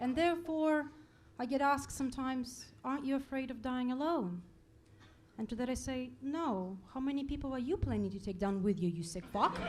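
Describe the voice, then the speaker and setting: Amid audible room echo, a woman with a high pitch and lively intonation talks at a fairly quick pace. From Russia. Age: 30s. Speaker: stand-up comedian. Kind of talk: stand-up. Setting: stage with audience.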